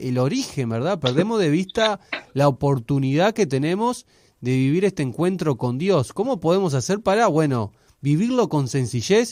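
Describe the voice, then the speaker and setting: Here a man speaks at a fairly slow pace. His pitch swings very widely. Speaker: radio host, interviewer. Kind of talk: radio interview questions.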